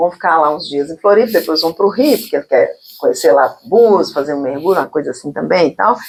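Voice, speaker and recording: A very fast pace with hardly any pauses, in a mineiro accent. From Minas Gerais, Brazil. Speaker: talk show host. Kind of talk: casual interview chat. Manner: chatty, filler-heavy (né, sabe).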